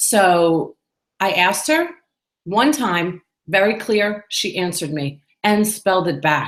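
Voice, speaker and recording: Speaking fairly slowly with long, frequent pauses, a woman with a New York accent keeps a medium pitch and lively intonation. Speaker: business owner and podcaster. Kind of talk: solo vlog monologue. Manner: casual and chatty.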